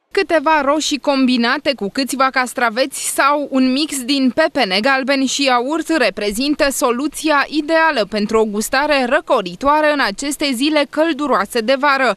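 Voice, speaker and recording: Speaking at a moderate pace with hardly any pauses, a woman with a high pitch keeps her loudness very even and her pitch variation ordinary, in a dry, close sound with no echo. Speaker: news reporter. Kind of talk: scripted narration.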